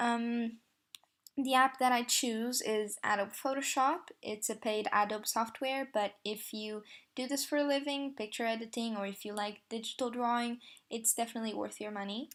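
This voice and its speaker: Fairly even intonation at a moderate pace, with a non-native accent. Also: woman, fairly high pitch for a woman. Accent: non-native accent, self-described bad. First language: not English. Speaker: tutorial creator, photo editor. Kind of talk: tutorial. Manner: hesitant, many fillers.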